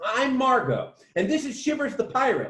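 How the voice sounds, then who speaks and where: The speaker uses a put-on character voice that is squeaky and high-pitched, at a moderate pace. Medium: read story. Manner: nervous, stammering.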